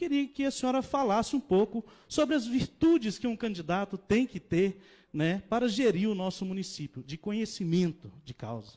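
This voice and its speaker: A dark, mellow tone with lively intonation moves at a moderate pace in a very clean recording with a silent background and a dry, close sound with no echo. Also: man, high pitch for a man. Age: 30s. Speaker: mayoral candidate, incumbent mayor. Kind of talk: political debate.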